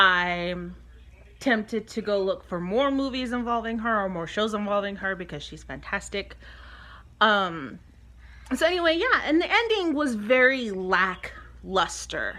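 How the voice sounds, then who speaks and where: Speaking at a fairly slow pace, a woman with a medium-pitched voice uses lively intonation and big swings in loudness. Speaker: vlogger. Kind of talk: casual chat. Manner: hesitant, many fillers.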